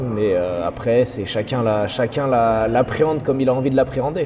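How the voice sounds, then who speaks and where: A man talks at a moderate pace, medium in pitch with ordinary variation, amid noticeable background noise. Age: 30s. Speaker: breakdancer and dance teacher. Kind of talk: interview.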